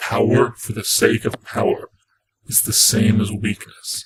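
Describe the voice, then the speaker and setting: A man performs a put-on character voice at a medium pitch. The sound is raspy. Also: moderate pace. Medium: read story.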